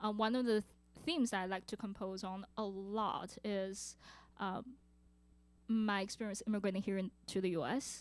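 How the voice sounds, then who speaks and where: Over music in the background, a woman with a Chinese accent speaks at a medium pitch and moderate pace, with fairly even intonation and long, frequent pauses. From China. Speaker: composer and multi-instrumentalist. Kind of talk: audience Q&A. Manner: halting.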